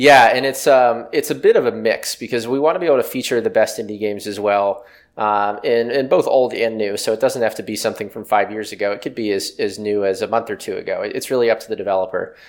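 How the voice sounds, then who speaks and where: Speaking with an American accent, a man talks at a very fast pace. He takes hardly any pauses. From West Virginia, near Pittsburgh. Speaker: tech startup CEO. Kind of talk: interview.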